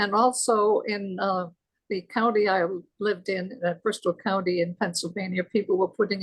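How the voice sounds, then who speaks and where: A woman speaks at a moderate pace and medium pitch, her intonation monotone and flat, in a dry, close sound with no echo. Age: 90s. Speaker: retired teacher, participant in discussion. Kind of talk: casual discussion testimony. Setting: video call.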